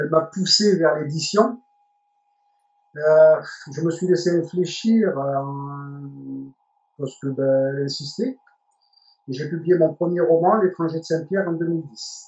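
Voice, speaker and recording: A man at a high pitch, fairly slow, with ordinary pitch variation and long, frequent pauses. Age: 60s. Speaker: retired journalist and novelist, reality show candidate. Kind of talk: interview. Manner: hesitant, many fillers and repetitions.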